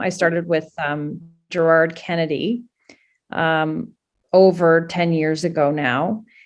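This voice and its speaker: A fairly slow delivery with a Canadian accent, with music in the background. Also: woman. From Canada. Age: 50s. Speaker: political candidate. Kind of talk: interview.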